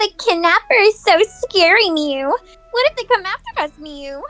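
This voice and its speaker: A shrill, extremely high put-on character voice talks at a moderate pace. Faint music plays in the background. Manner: whiny, frightened.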